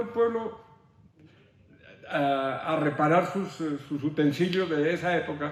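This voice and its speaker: A man talks fairly slowly in a high register. His intonation is lively. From Boyacá, Colombia. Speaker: artisan and technical teacher. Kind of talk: interview answer.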